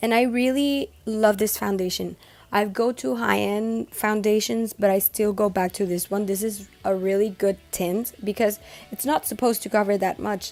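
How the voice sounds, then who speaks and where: A woman's medium-pitched voice comes through with music in the background. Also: ordinary pitch variation, moderate pace. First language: Spanish. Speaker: makeup beauty vlogger. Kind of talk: makeup tutorial talk to camera. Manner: casual, chatty.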